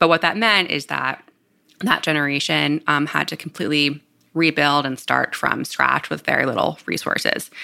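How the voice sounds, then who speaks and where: This speaker, with a Northeastern US accent, talks at a moderate pace. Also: woman. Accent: American, Northeast. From New Jersey. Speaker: startup CEO. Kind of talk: interview.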